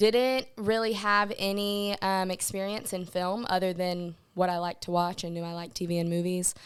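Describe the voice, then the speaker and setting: With a Southern US accent, a woman talks at a moderate pace and medium pitch with fairly even intonation and hardly any pauses, on a very clean recording with a silent background. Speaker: film producer. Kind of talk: podcast interview.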